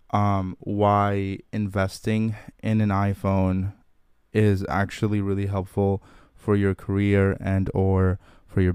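On a very clean recording with a silent background, a fairly low-pitched man speaks in a flat monotone. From Curacao. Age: younger than 43. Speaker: podcast host. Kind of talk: solo monologue and interview.

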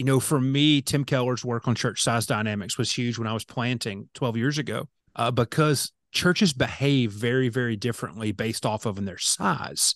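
A man in a normal speaking voice, medium in pitch with an American accent, talks at a moderate pace with ordinary pitch variation, recorded dry and close with no echo against a quiet background. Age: 40s. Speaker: pastor. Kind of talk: interview.

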